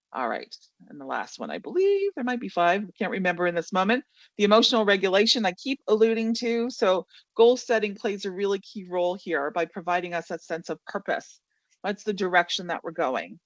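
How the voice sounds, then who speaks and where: The speech comes at a fairly quick pace with ordinary pitch variation and big swings in loudness, in a dry, close sound with no echo over a quiet background. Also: woman, medium pitch for a woman. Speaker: leadership coach and webinar presenter. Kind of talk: webinar presentation. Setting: online webinar. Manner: fast.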